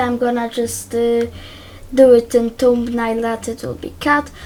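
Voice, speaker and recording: Music plays in the background as a woman speaks. She has a Polish accent and a fairly slow pace. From Poland. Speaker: YouTuber. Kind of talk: tutorial. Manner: hesitant, many fillers.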